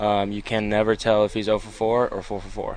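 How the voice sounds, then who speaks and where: Noticeable background noise accompanies a man speaking in a fairly low pitch. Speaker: college baseball player. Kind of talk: post-game interview.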